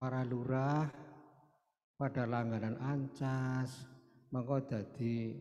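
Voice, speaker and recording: A man's medium-pitched voice, monotone and flat, at a very slow pace. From Banyumas, Central Java, Indonesia. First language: Banyumas Javanese (speaking Indonesian). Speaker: writer and magazine editor. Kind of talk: cultural oration.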